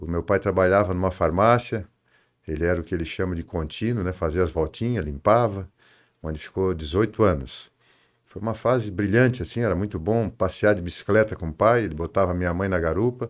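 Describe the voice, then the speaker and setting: Very deep, low male voice at a fairly quick pace, ordinary pitch variation, in a very clean recording with a silent background. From southern Brazil, Tubarão, Santa Catarina. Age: 60s. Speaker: construction company executive. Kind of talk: interview.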